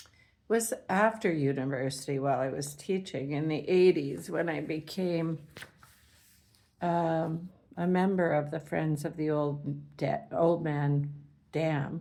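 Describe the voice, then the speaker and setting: Speaking very slowly with a Canadian accent, a woman has a very deep, low pitch, a dark, mellow tone and ordinary pitch variation. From Canada. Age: 70s. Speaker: retired teacher and environmental activist. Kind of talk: personal monologue. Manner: rambling, with filler words.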